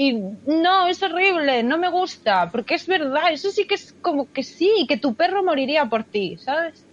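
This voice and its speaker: The speaker moves at a fairly slow pace with hardly any pauses. Their pitch swings very widely. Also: woman, high pitch for a woman. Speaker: podcast co-host. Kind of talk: casual chat. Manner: expressive.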